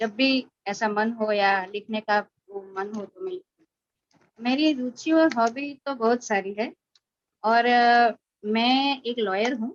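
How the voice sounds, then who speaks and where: A woman speaks in a Gujarati accent with a fairly high voice and ordinary pitch variation. Her loudness swings in big ways. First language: Gujarati (speaking Hindi). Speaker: writer and poet. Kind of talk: interview testimony.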